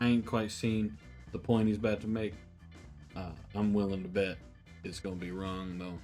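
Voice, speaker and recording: Over music in the background, a man with a Southern US accent speaks at a moderate pace with long, frequent pauses. His voice is fairly low, with fairly even intonation. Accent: Southern American. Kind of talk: comedic commentary to camera.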